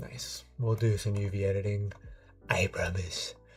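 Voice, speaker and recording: Music can be heard in the background. The talking is very slow. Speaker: livestreamer. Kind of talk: livestream tutorial. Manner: casual, animated.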